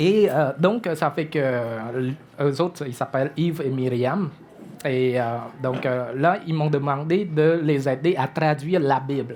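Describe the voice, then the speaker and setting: With a Cambodian accent, a man speaks at a very slow pace in a fairly high pitch with ordinary pitch variation. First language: Khmer (speaking French). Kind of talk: testimony. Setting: church breakfast event before audience. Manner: hesitant, many fillers.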